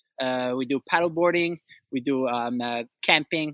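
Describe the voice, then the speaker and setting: This man talks in a Quebec accent with ordinary pitch variation. The sound is dry and close, with no echo. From Quebec, Outaouais (Gatineau). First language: French. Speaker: outdoor rental business owner. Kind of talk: interview conversation. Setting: outdoors. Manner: halting.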